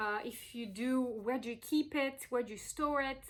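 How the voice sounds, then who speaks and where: This woman's voice is high in pitch, with an animated tone. She talks at a moderate pace with ordinary pitch variation. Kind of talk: crystal presentation video. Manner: animated, hesitant with fillers.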